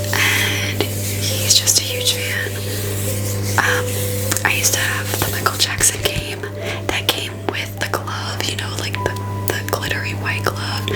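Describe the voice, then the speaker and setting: Whispering at a very slow pace, a soft-spoken woman takes a playful tone while music plays in the background. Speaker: ASMR content creator. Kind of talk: ASMR haul video, casual talk to camera. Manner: chatty, playful; whispered, soft-spoken.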